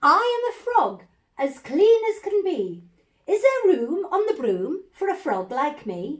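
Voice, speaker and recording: A woman's put-on character voice, croaky and extremely high-pitched, at a fairly slow pace. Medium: read story.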